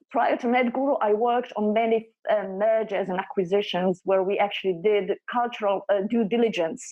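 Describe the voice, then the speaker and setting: A woman's normal speaking voice, fairly high-pitched, at a moderate pace. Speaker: consultant presenting on workplace culture. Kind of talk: presentation.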